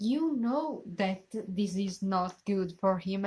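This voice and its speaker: A woman with an Italian accent at a very slow pace, in a very clean recording with a silent background. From Italy. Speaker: reaction youtuber. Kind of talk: casual chat. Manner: halting.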